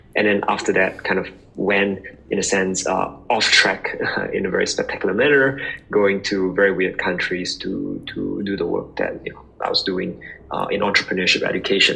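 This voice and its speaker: There is background music. Over it, a man speaks at a moderate speed. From Singapore. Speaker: startup founder. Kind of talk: podcast interview.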